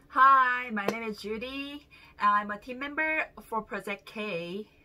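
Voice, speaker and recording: Over noticeable background noise, a woman speaks at a very slow pace, her loudness rising and falling in big swings. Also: fairly high pitch for a woman, ordinary pitch variation. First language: not English. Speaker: team member of a sales company. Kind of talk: testimony.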